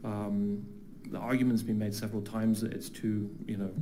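In a British accent, a man talks at a moderate pace with a fairly low pitch and fairly even intonation. Room echo is audible. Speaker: public commenter, flight school owner. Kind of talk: public comment at council meeting. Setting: council chamber with audience. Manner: halting, many fillers and repetitions.

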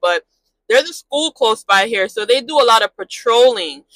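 Someone speaks at a fairly quick pace over a quiet background, the sound dry with no echo. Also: woman. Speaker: truck driver vlogger. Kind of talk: casual vlog chat. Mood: mildly frustrated, reflective. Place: car. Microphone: lapel.

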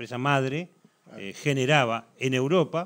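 A man with an Uruguayan accent and ordinary pitch variation. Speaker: football commentator; talk show guest. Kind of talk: TV sports talk show. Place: studio.

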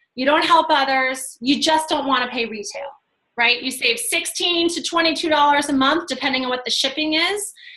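Over a quiet background, a woman uses a raised, projected voice at a high pitch, with a bright, sharp tone, ordinary pitch variation, and a fairly slow pace. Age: 40s. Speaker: fitness coach and team leader; fitness coach. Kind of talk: video call presentation. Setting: video call. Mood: friendly, persuasive. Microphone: video call.

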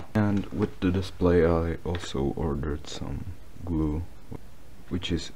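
Quiet and very deep, a man's low-pitched voice comes with long, frequent pauses and fairly even intonation against noticeable background noise. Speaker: hobbyist phone repairer. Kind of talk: casual voice-over narration of a repair. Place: home room. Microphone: phone near.

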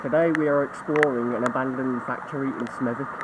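A man's words come at a moderate speed while heavy noise fills the background. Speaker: urban explorer vlogger. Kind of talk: casual vlog chat. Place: open country. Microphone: phone near.

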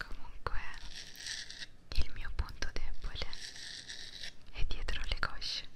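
Soft-spoken and whispering, a woman talks at a very slow pace. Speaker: ASMR content creator. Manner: soft close-mic ASMR whisper. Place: home room. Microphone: studio mic.

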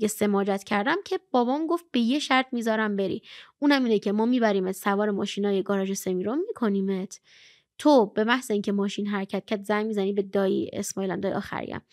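A woman with an animated tone and ordinary pitch variation at a very fast pace, dry sound with no echo, quiet background. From Iran. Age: 20s. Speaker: blind poet and traveler; podcast guest. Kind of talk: interview storytelling. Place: studio. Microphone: studio mic.

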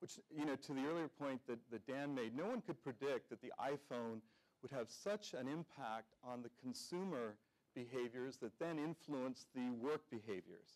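At a moderate pace, a man speaks, his pitch varying in an ordinary way. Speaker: conference presenter. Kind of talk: keynote presentation. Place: hall.

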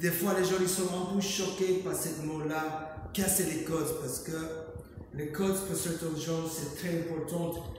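With an American accent, a man speaks at a high pitch and very slow pace in a monotone, flat intonation, over noticeable background noise and strong room echo. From United States (New York). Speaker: painter, street artist. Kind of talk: interview about his art. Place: hall. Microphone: camera far.

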